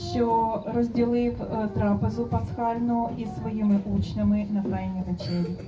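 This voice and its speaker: There is noticeable background noise as a woman speaks with a Ukrainian accent. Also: moderate pace. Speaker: interpreter translating into Ukrainian. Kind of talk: consecutive interpreting of a blessing. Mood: solemn, measured. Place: garden.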